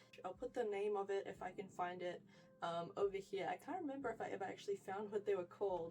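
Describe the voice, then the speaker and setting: Very fast speech over noticeable background noise. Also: woman, medium pitch for a woman, ordinary pitch variation. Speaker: fashion vlogger. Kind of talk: wardrobe tour vlog. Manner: animated.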